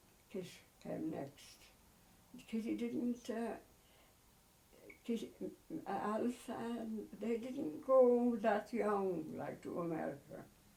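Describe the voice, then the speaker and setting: A woman with a Cork accent speaks at a very slow pace in a fairly high voice, her lively intonation broken by long, frequent pauses, with audible room echo around her. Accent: Cork Irish. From Ireland, Cobh, County Cork. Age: 80s+. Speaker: elderly mother interviewed about family history. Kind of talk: oral history interview. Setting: at home. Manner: halting, with many fillers.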